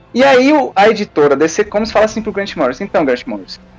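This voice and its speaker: A man talking at a very fast pace, his pitch swinging very widely. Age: 20s. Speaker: fan site columnist. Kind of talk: casual chat.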